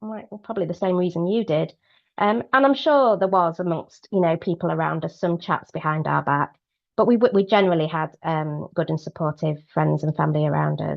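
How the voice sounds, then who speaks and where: Talking at a fairly quick pace with a British accent, a woman uses a fairly low pitch and ordinary pitch variation. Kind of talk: webinar talk. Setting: online webinar. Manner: fast; hesitant, many fillers.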